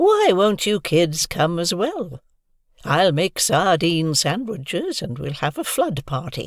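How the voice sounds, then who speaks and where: A put-on character voice at middle pitch and a fairly slow pace, on a very clean recording with a silent background. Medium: read story. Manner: calm, dry.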